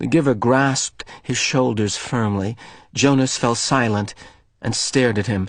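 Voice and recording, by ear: Ordinary pitch variation comes through as someone is reading aloud in a natural voice.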